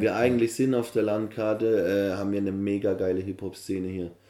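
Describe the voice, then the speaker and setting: Against noticeable background noise, a man talks at a fairly quick pace with a fairly low pitch and fairly even intonation. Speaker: event organiser and MC. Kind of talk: casual interview. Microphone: poor recording quality.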